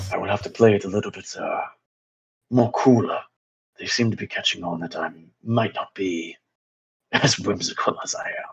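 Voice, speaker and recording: This man performs a put-on character voice. He keeps a moderate pace broken by long, frequent pauses. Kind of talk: fantasy role-play acting. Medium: actual play. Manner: solemn, earnest.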